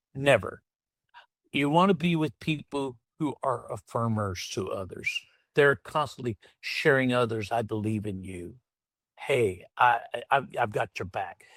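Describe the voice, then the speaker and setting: Very clean and silent in the background, the recording captures a man's dry, close voice with no echo. He speaks fairly slowly with a Southern US accent and lively intonation. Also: medium pitch for a man. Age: 60s. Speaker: entrepreneur and former pastor. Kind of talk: podcast interview.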